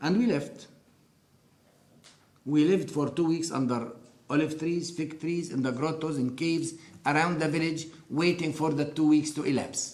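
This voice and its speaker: In a room with audible echo, a man with an Arabic accent speaks at a fairly high pitch with fairly even intonation. He leaves long, frequent pauses. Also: moderate pace. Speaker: interviewee sharing life story. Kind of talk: testimony.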